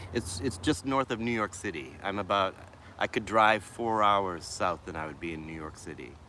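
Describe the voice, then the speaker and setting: A man talks at a moderate pace in a very deep, low voice with a bright, sharp tone. His pitch varies in an ordinary way, while his loudness swings widely. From Boston, Massachusetts. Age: 50s. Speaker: mental health vlogger and musician. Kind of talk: casual livestream chat. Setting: outdoors in a city park.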